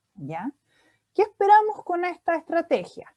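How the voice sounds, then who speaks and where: This woman has a dark, mellow tone, recorded with a dry, close sound and no echo. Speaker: speech therapist. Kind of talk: lecture.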